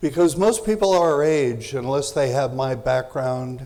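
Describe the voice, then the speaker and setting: A man speaks fairly slowly with ordinary pitch variation. Audible echo fills the room. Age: 70s. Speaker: parenting expert and speaker. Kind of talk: lecture.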